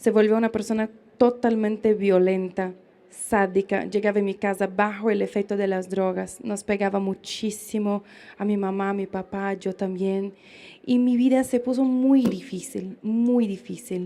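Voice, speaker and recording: In a very clean recording with a silent background, a woman with a Brazilian accent speaks at a fairly slow pace, her tone dark and mellow and her intonation fairly even. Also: medium pitch for a woman. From Brazil, interior of São Paulo state. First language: Portuguese (speaking Spanish). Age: 20s. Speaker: pro-life speaker, former feminist activist. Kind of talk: public lecture, personal testimony. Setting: live event with audience, in the sun.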